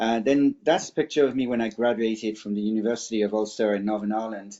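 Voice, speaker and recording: With a French accent, a man talks at a very fast pace, keeping a medium pitch and fairly even intonation. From France. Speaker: cybersecurity expert. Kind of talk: webinar presentation.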